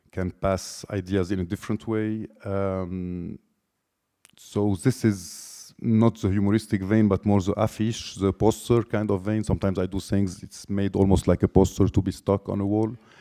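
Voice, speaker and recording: A man's fairly low voice in a Lebanese accent, monotone and flat, at a moderate pace, with a dry, close sound and no echo. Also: very clean recording, silent background. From Lebanon. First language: Lebanese Arabic. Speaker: artist. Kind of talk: artist talk. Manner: halting.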